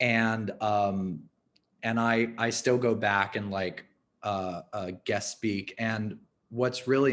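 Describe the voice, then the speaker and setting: This man's voice sits at a fairly low pitch. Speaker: arts fundraiser. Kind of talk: webinar interview. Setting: video call webinar. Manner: casual, halting with fillers.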